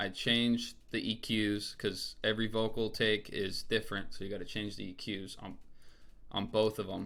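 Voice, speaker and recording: A man at a moderate pace, fairly low in pitch, with a bright, sharp tone and monotone, flat intonation. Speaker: music producer and rapper. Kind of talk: tutorial. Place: home room.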